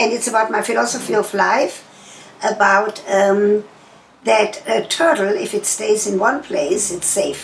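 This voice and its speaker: A woman with a German accent over noticeable background noise. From Germany. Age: 80s+. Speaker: sex therapist. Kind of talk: interview answer. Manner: forthright, motherly.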